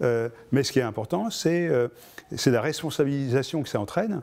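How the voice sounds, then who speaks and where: A man talks at a fairly quick pace with a dark, mellow tone. His pitch sits in the medium range and varies in an ordinary way. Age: 60s. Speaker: activist and electronics engineer. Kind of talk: interview. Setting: filmed interview. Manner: halting, many hesitations.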